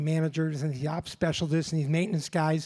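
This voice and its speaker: This man speaks at a high pitch. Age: 60s. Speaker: business executive. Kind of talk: conference speech.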